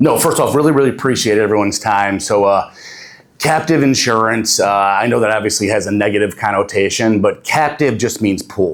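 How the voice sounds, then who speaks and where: At a fairly quick pace, a man speaks in a fairly low pitch with ordinary pitch variation and very even loudness. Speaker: insurance representative. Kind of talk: conference talk.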